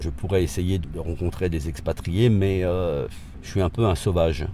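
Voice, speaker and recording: In a room with audible echo, a man speaks with a very deep, low pitch. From France. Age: 60s. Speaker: retired expatriate. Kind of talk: interview testimony. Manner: halting, many repetitions.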